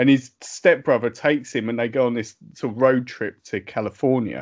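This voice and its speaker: The speaker has a British accent and a moderate pace. The background is quiet. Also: man. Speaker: podcast host. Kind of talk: casual chat.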